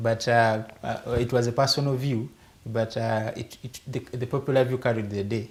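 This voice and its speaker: The voice is somewhat breathy, with monotone, flat intonation at a moderate pace. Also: man, medium pitch for a man. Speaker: political party youth leader. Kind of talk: talk show debate. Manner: halting, many fillers and repetitions.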